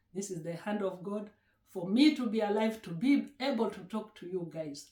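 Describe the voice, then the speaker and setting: A woman with a Kenyan accent speaks at a moderate pace and fairly high pitch. Her voice is somewhat breathy, with lively intonation. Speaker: YouTuber. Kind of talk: casual vlog chat. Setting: at home.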